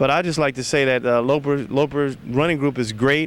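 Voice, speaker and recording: A man talks at a fairly high pitch with fairly even intonation in an ordinary speaking voice. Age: 40s. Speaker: running club member. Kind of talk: testimonial.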